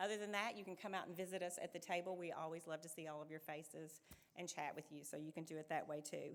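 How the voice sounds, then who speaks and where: This is a woman speaking. Her pace is very fast. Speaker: nonprofit membership recruitment director. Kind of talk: speech at a fundraising event. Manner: loud.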